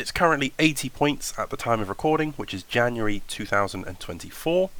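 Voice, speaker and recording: A British accent with a bright, sharp tone, an enthusiastic tone, lively intonation and a fairly quick pace. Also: man. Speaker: tabletop wargaming YouTuber. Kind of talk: tutorial voiceover. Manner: casual, enthusiastic.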